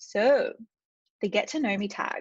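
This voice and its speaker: A woman talks with an Australian accent in a somewhat breathy voice. The sound is dry and close, with no echo. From Australia, regional Victoria. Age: 30s. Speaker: vlogger. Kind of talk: casual chat. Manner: fast.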